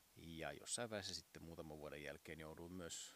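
With vocal fry and a very deep, low pitch, a man talks at a moderate pace. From southern Finland, Uusimaa region. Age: 40s. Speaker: podcast host, masseur and piano tuner. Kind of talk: casual monologue. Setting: outdoors on home terrace.

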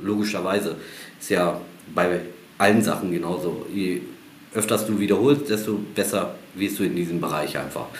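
The man's pitch is fairly low and his pace moderate. Room echo is audible. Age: 40s. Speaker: football technique coach. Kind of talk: casual interview.

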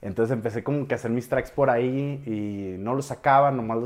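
Talking fairly quickly, a man uses a normal speaking voice at a middle pitch with ordinary pitch variation. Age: 20s. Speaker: music producer. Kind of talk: interview.

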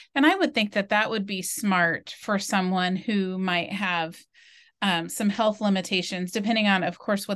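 At a moderate pace and a medium pitch, a woman with an ordinary speaking voice talks with fairly even intonation over a quiet background. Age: 50s. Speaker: podcast host. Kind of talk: casual chat.

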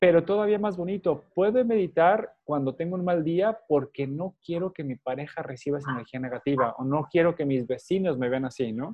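A man speaks in an unremarkable speaking voice at a fairly high pitch. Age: 30s. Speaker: meditation teacher. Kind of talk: interview.

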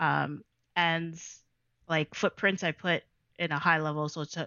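A woman with a Toronto accent speaks fairly slowly in a fairly low voice. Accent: Canadian English, Toronto. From Canada, Toronto (Jane and Weston). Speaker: DJ and dancer. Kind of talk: casual interview chat.

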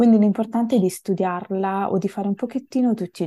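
A woman with a dark, mellow tone speaks at a fairly quick pace and fairly even intonation, in a dry, close sound with no echo. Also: very clean recording, silent background. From Italy. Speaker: multilingual language learner. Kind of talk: interview. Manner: hesitant, with fillers.

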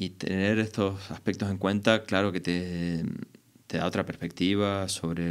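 Very deep and low, this man's voice stays monotone and flat. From Argentina. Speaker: electronic music producer. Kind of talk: casual interview. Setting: studio.

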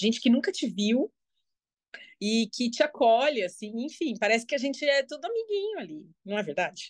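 A woman's high voice at a moderate pace, with very wide pitch swings over a quiet background. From Brazil, São Paulo. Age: 40s. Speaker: social media user, guest. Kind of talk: casual chat.

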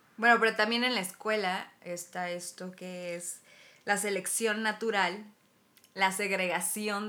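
A woman speaks in a bright, sharp tone with a Mexican accent. Her intonation stays monotone and flat. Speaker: podcast host. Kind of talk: casual chat.

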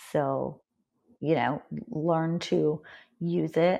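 A woman speaks at a very slow pace in a very deep, low pitch. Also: quiet background. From Canada. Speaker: packaged food and beverage consultant. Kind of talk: casual interview conversation.

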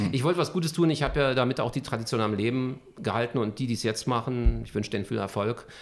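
A man at a very fast pace, with vocal fry and ordinary pitch variation. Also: medium pitch for a man. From Berlin (Charlottenburg, West Berlin). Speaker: journalist and TV news anchor. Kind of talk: interview.

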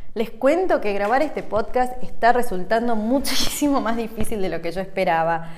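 A woman's fairly high voice in a Rioplatense accent at a moderate pace, with audible room echo. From Argentina. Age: 30s. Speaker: holistic coach and podcast host. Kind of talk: casual monologue.

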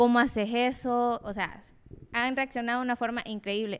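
A woman with a plain, everyday voice speaks at a fairly slow pace and fairly high pitch, with fairly even intonation, on a very clean recording with a silent background. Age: 20s. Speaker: pole dancer. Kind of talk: casual chat.

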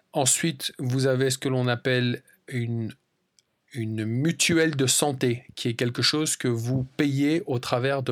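In a very clean recording with a silent background, a man speaks very slowly at a medium pitch with fairly even intonation. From France. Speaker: language-learning podcast host. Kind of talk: casual solo monologue for learners.

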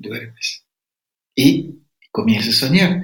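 A man with a fairly high pitch and vocal fry speaks at a very slow pace, his pitch swinging very widely. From Ecuadorian Amazon, Sapara people. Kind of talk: interview.

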